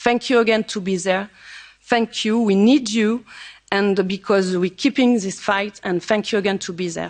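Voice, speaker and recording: With a French accent, a woman speaks in fairly even intonation. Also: medium pitch for a woman, moderate pace. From France. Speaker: member of parliament. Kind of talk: conference speech. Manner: halting.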